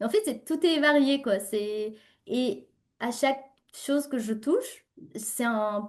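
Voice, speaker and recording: A woman with a slight non-native accent speaks at a fairly slow pace in a high voice, her pitch varying in an ordinary way. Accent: slight foreign accent in French. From Uzbekistan. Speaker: entrepreneur and LinkedIn coach. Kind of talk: interview. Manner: animated.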